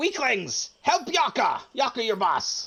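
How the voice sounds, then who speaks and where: In a put-on character voice, the speaker talks fairly slowly in a high, shrill tone with very wide pitch swings. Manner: screeching, bossy.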